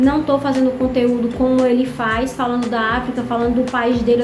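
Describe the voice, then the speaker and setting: A woman speaks at a high pitch and a moderate pace. Noticeable background noise and audible room echo are present. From Brazil. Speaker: vlogger. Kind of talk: casual vlog monologue.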